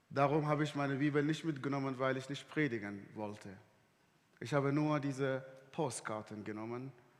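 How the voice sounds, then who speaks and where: A man's medium-pitched voice at a moderate pace, ordinary pitch variation, and audible room echo. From Sudan. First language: Arabic (speaking German). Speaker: guest preacher. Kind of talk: sermon. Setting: church service livestream.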